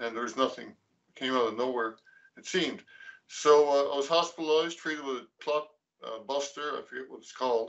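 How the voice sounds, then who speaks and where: A man with a plain, everyday voice, fairly high in pitch, at a fairly quick pace with ordinary pitch variation. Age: 60s. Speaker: patient partner, cardiac arrest survivor. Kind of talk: patient testimony presentation.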